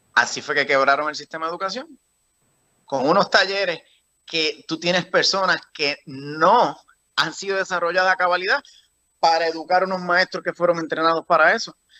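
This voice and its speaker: With ordinary pitch variation, the man talks in a high register. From Puerto Rico, rural. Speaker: political candidate. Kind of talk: interview. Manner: halting, repetitive.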